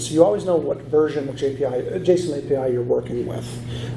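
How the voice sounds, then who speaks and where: The man's voice has ordinary pitch variation. Noticeable background noise and audible room echo fill the recording. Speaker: conference speaker. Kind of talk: lecture. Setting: stage with audience. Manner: halting.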